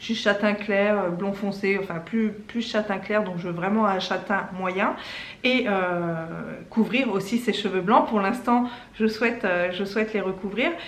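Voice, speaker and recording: A woman talks at a fairly slow pace with medium pitch and ordinary pitch variation. Noticeable background noise and audible room echo fill the recording. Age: 40s. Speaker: lifestyle YouTuber. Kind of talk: casual vlog testimony and product tutorial. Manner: hesitant, many fillers.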